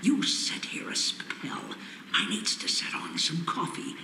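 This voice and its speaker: Over loud background noise, a man speaks in a put-on character voice at a fairly slow pace. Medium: video game. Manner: gruff, folksy drawl.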